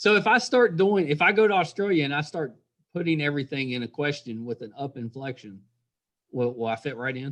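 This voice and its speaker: A man speaks fairly quickly in a strong West Virginia accent. His fairly high voice swings very widely in pitch. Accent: thick West Virginia. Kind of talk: conversational.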